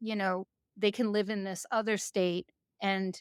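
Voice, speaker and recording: A woman with an American accent, flat and monotone, at a fairly slow pace, dry and close with no echo. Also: very clean recording, silent background. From New York. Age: 60s. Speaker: executive leadership coach. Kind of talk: interview conversation. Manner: halting, many fillers.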